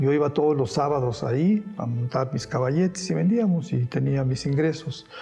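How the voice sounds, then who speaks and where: This man talks at a moderate pace with a fairly high pitch and ordinary pitch variation. Background noise is noticeable. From Spain, raised in Mexico. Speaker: painter. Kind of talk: interview answer.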